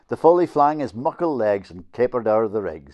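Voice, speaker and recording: A man with a northeast Scottish accent speaks with lively intonation. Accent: Doric Scots. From Northeast Scotland. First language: Doric Scots. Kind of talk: poetry reading in dialect.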